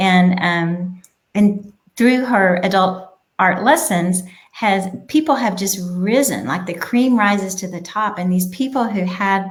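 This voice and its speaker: Audible room echo surrounds a woman speaking at a fairly slow pace. Her medium-pitched voice is somewhat breathy, with ordinary pitch variation. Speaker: childcare business owner. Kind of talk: casual interview. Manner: quiet.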